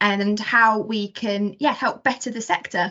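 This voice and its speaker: A woman with an Essex accent at a moderate pace. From southern England, Essex. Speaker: podcast host, ecologist. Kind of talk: casual podcast chat.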